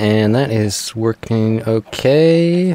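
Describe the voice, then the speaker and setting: In a relaxed tone, a man speaks with very wide pitch swings, the sound dry and close with no echo despite noticeable background noise. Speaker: Minecraft gameplay YouTuber. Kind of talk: casual gameplay commentary. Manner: relaxed, low-energy; hesitant, filler-heavy.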